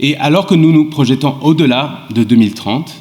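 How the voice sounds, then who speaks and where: Male speech at a moderate pace with ordinary pitch variation, over noticeable background noise. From England and Sweden. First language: English (speaking French). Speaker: law professor. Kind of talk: panel talk. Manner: halting.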